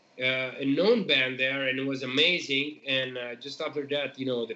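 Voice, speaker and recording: A man with an Italian accent speaks at a fairly high pitch over noticeable background noise. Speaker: metal band member. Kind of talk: casual chat. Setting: live stream.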